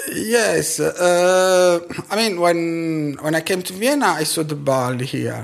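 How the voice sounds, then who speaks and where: With an Italian accent, a man talks using ordinary pitch variation. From Italy. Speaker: scientist and tango dancer. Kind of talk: interview.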